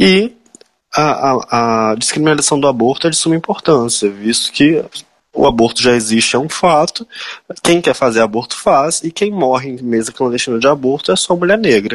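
A man's medium-pitched, normal speaking voice with lively intonation at a moderate pace. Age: 20s. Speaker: political candidate, law student. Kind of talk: interview.

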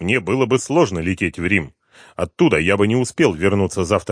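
A natural reading voice is heard. Behind it, the background is quiet.

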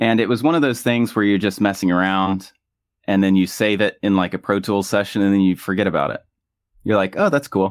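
With a normal speaking voice, a man talks fairly quickly at a fairly low pitch, his pitch varying in an ordinary way. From US South. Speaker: musician. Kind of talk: casual interview. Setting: video call from home bedroom studio.

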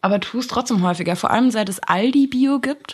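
A woman speaks with a somewhat breathy voice and ordinary pitch variation. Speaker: podcast co-host, university student. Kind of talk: casual chat.

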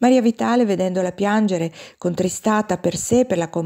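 Someone is doing plain reading aloud, with ordinary pitch variation.

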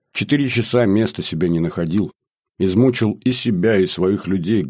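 Plain reading aloud plays out over a quiet background.

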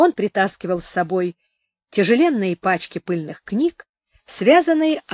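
There is little sound behind this natural-voiced reading aloud.

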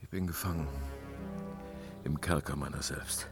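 With faint music in the background, a man uses a put-on character voice with an extremely low pitch, vocal fry, fairly even intonation and a fairly slow pace.

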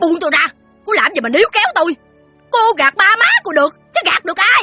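In a put-on character voice of extremely high pitch, the speaker moves at a fairly quick pace as faint music plays behind. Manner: hissing through the teeth, venomous.

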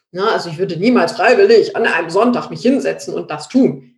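Here a woman is talking. Her pace is moderate. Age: 30s. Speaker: real estate expert and investor. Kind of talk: interview.

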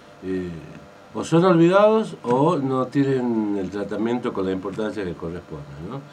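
Audible room echo surrounds a man whose fairly low voice has a slightly mellow tone, lively intonation and a moderate pace.

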